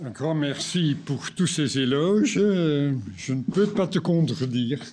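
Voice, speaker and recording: Speaking very slowly with a Dutch accent, a man uses a fairly high pitch and lively intonation, with audible room echo. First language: Dutch (speaking French). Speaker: historian lecturer. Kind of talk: lecture. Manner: halting, many hesitations.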